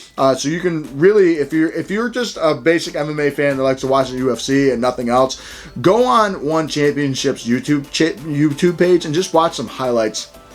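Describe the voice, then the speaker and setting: An enthusiastic tone at a moderate pace, with ordinary pitch variation, hardly any pauses and noticeable background noise. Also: man, fairly high pitch for a man. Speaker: combat sports gear reviewer. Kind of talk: product review. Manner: slight stutter today.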